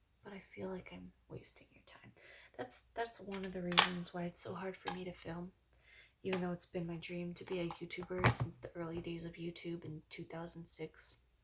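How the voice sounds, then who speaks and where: Soft-spoken, a woman talks at a moderate pace. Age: 20s. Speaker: ASMR YouTuber. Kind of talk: casual talk to camera.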